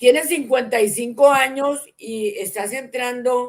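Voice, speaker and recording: A woman's fairly high-pitched voice carries ordinary pitch variation. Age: 60s. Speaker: interview show host. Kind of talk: interview. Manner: animated.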